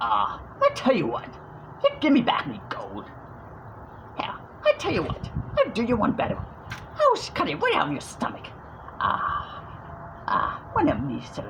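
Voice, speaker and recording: The speaker uses a put-on character voice at a moderate pace. Background noise is clearly audible. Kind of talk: casual talk to camera. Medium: tutorial demo. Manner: aggressive.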